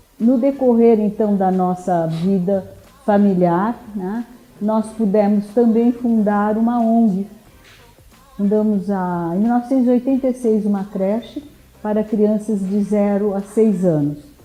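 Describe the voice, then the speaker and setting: Over music in the background, a woman speaks at a fairly slow pace with a fairly high pitch and fairly even intonation. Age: 70s. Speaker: political candidate and psychoanalyst. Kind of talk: interview.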